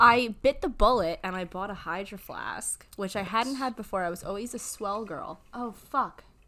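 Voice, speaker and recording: Bright, sharp tone with big swings in loudness, ordinary pitch variation, a moderate pace and hardly any pauses. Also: woman, fairly high pitch for a woman. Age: 20s. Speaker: podcast host. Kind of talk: casual chat.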